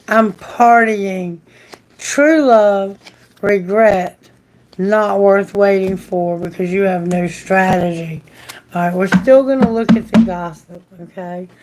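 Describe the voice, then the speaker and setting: Her pace very slow, a woman talks at a medium pitch with ordinary pitch variation. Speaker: tarot reader. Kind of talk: live tarot reading.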